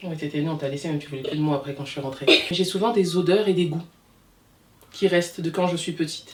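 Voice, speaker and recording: Speaking very fast in an animated tone, a woman with a fairly low pitch leaves long, frequent pauses. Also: ordinary pitch variation. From DR Congo, raised in France from 18 months. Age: 30s. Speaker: hairdresser. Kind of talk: casual interview.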